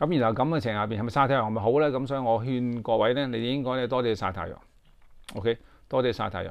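Over a quiet background, the voice runs at a fairly quick pace. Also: man. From Hong Kong. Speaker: YouTube commentator. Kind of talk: casual monologue to camera. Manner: halting, many fillers. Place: home room. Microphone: phone near.

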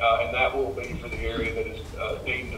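The man talks at a very fast pace. Light background noise and audible room echo are present. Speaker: engineer. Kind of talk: project briefing. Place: hall.

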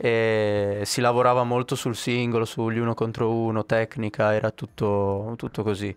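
A man's monotone, flat delivery at a moderate pace, very even in loudness, in a dry sound with no echo. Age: 20s. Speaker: youth footballer. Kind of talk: casual interview. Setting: training center. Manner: halting. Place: studio. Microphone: handheld.

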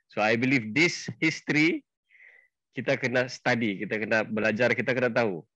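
A man with a bright, sharp tone talks at a fairly quick pace, with ordinary pitch variation and very even loudness, the sound dry with no echo and the background quiet. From Sabah, Malaysia (Bisaya parents). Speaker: event host, travel club founder; channel host explaining history. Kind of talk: introduction speech. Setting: Facebook live session. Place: home room. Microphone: headset.

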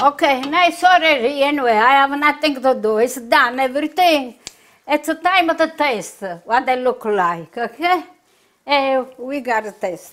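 In a strong southern Italian accent, a woman speaks at a high pitch with lively intonation. Her pace is fairly slow. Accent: heavy southern Italian accent in English. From southern Italy, Puglia. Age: 80s+. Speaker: home cook; home cook host. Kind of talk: cooking tutorial. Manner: halting. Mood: warm, cheerful. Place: kitchen.

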